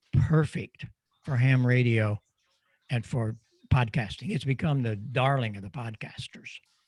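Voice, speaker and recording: A man with a medium-pitched, somewhat breathy voice speaks at a fairly slow pace, leaving long, frequent pauses. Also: ordinary pitch variation, big swings in loudness. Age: 80s+. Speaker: microphone designer and ham radio presenter. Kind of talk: Q&A in online club meeting.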